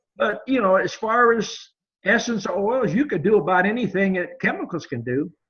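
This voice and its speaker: Speaking at a moderate pace, a high-pitched man uses lively intonation. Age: 70s. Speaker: beekeeping teacher. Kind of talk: casual chat.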